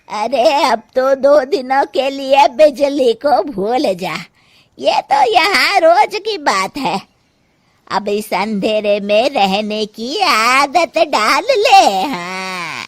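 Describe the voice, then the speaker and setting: A woman's cartoonish character voice, high-pitched with very wide pitch swings and a very slow pace. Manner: blunt, commanding.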